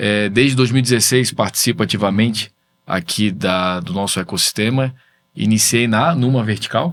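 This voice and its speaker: Set at a moderate pace, a normal speaking voice carries ordinary pitch variation. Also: man, fairly low pitch for a man. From Brazil, Florianópolis. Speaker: tech entrepreneur, business association president. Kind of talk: videocast interview.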